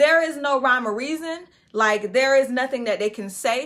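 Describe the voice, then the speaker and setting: A woman speaks at a high pitch with a bright, sharp tone. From Florida. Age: 20s. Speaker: podcast host. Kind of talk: casual commentary. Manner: animated.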